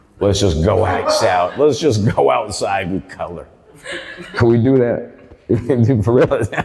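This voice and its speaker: A man's medium-pitched voice with lively intonation, a fairly slow pace, long, frequent pauses, and noticeable background noise. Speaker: stand-up comedian. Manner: casual, joking.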